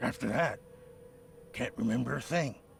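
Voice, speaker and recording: A man speaks in a raspy, put-on character voice at a moderate pace. Background noise is clearly heard. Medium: video game. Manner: defensive, bitter.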